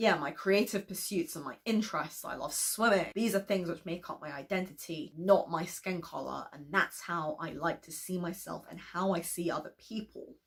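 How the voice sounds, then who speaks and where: This woman speaks at a moderate pace with a fairly low pitch and some vocal fry. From London, England. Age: 20s. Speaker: author and YouTuber. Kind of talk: vlog monologue.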